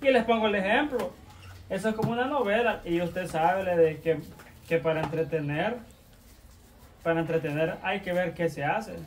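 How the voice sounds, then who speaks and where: The speaker moves at a moderate pace with lively intonation and long, frequent pauses. Light background noise is present. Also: man, high pitch for a man. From El Salvador. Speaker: YouTube channel regular. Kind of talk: casual chat. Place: home room. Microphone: camera far.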